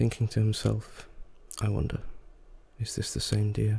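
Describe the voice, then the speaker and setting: Soft-spoken, a man talks at a fairly slow pace against noticeable background noise. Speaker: ASMR creator. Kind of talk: soft-spoken ASMR story reading. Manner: soft-spoken, calming.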